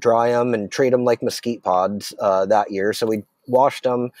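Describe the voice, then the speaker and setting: This man has a medium pitch and a dark, mellow tone, with an American accent. He talks at a moderate pace, and the sound is dry and close with no echo. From Arizona. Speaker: chef and restaurant owner. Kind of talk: casual chat.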